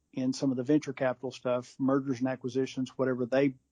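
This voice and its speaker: A man with a Texan accent in a dark, mellow tone, monotone and flat in intonation, with a dry, close sound with no echo. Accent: Texan American. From West Texas. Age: 50s. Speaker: fly fishing industry executive. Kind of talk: casual interview.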